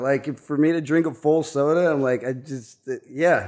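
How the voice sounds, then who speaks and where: A man with an American accent and an unremarkable speaking voice talks at a fairly high pitch with ordinary pitch variation against a quiet background. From Kansas (Lawrence). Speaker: cook. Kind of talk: casual interview.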